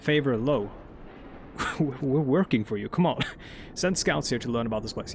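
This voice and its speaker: This man speaks with a Norwegian accent. His pitch is medium and his pace moderate. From Norway. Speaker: gaming YouTuber. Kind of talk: let's play commentary. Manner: rambling with many fillers.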